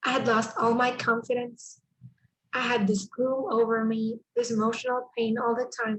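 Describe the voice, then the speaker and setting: A woman with a Spanish accent speaks at a high pitch. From El Salvador. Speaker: speaker at a church mental health summit. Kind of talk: testimony and presentation.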